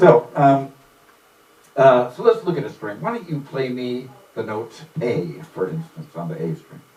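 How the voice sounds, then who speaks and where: There is noticeable background noise as a man at medium pitch speaks with very wide pitch swings. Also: big swings in loudness. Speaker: music theory instructor. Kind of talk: casual lecture. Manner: fast.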